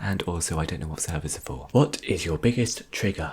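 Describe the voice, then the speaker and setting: The voice is somewhat breathy, with a British accent and ordinary pitch variation. The recording is very clean, with a silent background. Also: man. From England. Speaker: ASMR YouTuber. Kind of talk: Q&A video. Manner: whispering.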